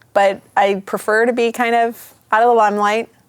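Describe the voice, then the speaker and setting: A woman with a Midwestern accent talks at a fairly high pitch. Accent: Midwest. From US Midwest. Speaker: pastor. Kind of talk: casual chat.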